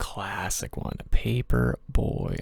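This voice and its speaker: The man talking is soft-spoken. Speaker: ASMR creator. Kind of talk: ASMR soft-spoken ramble.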